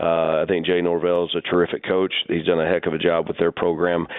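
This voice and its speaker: Here is a man with a very deep, low voice. He talks in an American accent at a moderate pace. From Oklahoma. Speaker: college football head coach. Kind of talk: radio interview.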